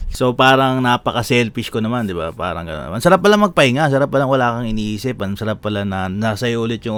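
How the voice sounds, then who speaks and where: A man speaks with a normal speaking voice. His pitch is medium, with ordinary variation. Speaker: vlogger. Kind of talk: casual vlog monologue.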